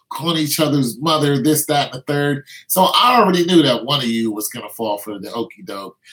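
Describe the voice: The voice moves at a fairly quick pace, fairly bright in tone with a slightly husky edge and lively intonation. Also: man, medium pitch for a man.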